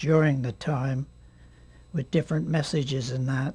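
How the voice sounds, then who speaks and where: Dark and mellow in tone, a man's somewhat breathy voice keeps a fairly even intonation. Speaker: war veteran. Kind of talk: interview answer. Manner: hesitant.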